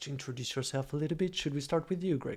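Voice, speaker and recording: Speaking in a French accent, a man uses a fairly high pitch with ordinary pitch variation. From France. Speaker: streaming show host. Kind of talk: casual livestream chat. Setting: livestream.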